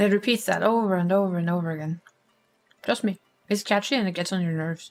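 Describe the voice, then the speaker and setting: A woman of medium pitch with a Norwegian accent, at a very fast pace with ordinary pitch variation, music in the background. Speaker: streamer. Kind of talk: casual chat.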